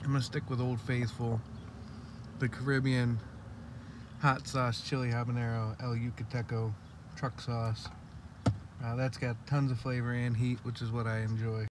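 A man at a moderate pace with long, frequent pauses, a dry sound with no echo, and noticeable background noise. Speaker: hot sauce reviewer. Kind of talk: casual vlog chat. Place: car. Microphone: phone near.

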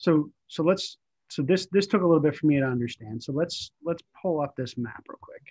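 A man with an unremarkable speaking voice talks at a moderate pace and fairly high pitch, with ordinary pitch variation and a quiet background. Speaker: church discussion group leader. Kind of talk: group discussion with opening prayer. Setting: video call. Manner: casual, repetitive fillers. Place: home room. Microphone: video call.

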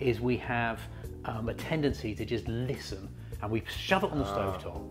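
Speech moves at a fairly quick pace while clear music plays behind it. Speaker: presenter. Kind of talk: product demonstration explanation. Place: kitchen.

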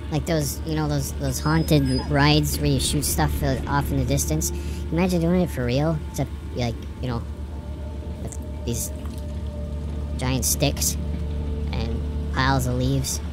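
A put-on character voice at a fairly slow pace over loud music in the background. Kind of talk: horror game let's play commentary. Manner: upbeat, jokey.

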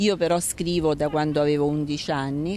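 The voice has a dark, mellow tone and fairly even intonation at a moderate pace, in a dry sound with no echo over light background noise. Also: woman. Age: 50s. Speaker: writer; interviewee. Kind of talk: interview. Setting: outdoors. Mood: calm, reflective. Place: street. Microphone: handheld.

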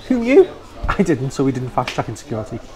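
A man speaks at a very fast pace. Noticeable background noise runs under him. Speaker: travel vlogger. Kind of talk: casual vlog chat. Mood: cheerful, jokey. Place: hall. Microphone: phone near.

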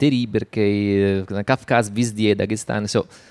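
A man with an Italian accent, fairly low in pitch, with fairly even intonation and a fairly slow pace, over a quiet background. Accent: Italian-accented Russian. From Italy. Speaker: photographer and writer. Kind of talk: public talk interview. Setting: stage with audience. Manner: halting. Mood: warm, animated. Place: stage. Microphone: handheld.

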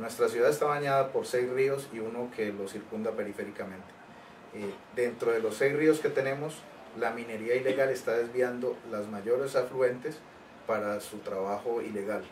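With a normal speaking voice, a man of medium pitch talks at a moderate pace with fairly even intonation over light background noise. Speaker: trade union official. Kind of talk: interview. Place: office. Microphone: camera far.

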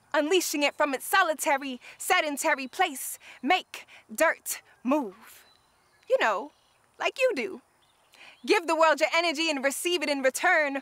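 The tone is bright and sharp, with lively intonation. Long, frequent pauses break up the speech. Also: woman, high pitch for a woman, dry sound with no echo. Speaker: spoken word poet. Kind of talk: spoken word poetry performance. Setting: outdoors at a wetlands park. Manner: rhythmic, lyrical, impassioned; deliberate, emphatic cadence. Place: open country.

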